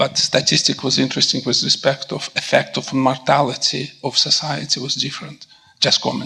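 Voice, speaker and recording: Noticeable background noise beneath a man's moderately paced speech. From Russia / former Soviet Union. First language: Russian. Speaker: physician. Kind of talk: audience question/comment at panel.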